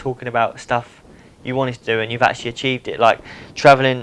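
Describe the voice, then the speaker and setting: A man is speaking here. His intonation stays monotone and flat. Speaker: BMX rider and YouTuber. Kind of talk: casual podcast monologue. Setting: front room at home. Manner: fast.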